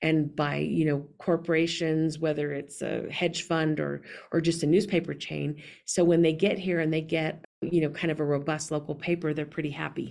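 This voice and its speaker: Her voice is very deep and low, with vocal fry. The woman speaks at a moderate pace in a monotone, flat intonation. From New Mexico (Las Vegas), then West Texas (Lubbock). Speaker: newspaper editor. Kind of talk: interview conversation.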